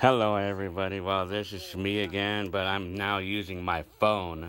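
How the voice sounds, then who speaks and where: A man's very deep, low voice at a moderate pace with fairly even intonation. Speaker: hobbyist vlogger. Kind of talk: casual vlog chat. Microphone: phone near.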